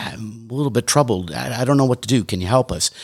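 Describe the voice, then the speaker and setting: A man speaks in an American accent at a fairly quick pace. His is an ordinary speaking voice with lively intonation. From Detroit, Michigan, US. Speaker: leadership consultant. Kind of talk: radio interview. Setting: studio.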